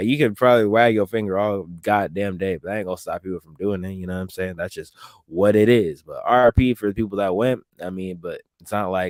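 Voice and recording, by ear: Speaking at a fairly quick pace, a man uses a low pitch with ordinary variation.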